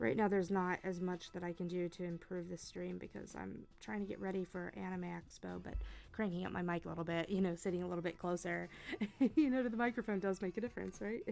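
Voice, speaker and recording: A quiet woman's voice at a very fast pace. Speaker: digital artist streamer. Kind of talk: casual live stream chat. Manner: quiet, low-volume talk. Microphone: mic was too quiet, moved closer.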